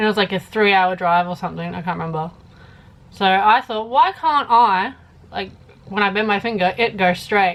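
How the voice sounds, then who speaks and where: In an Australian accent, a woman speaks at a moderate pace with a medium pitch and ordinary pitch variation. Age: 20s. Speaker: YouTuber. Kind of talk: casual Q&A vlog.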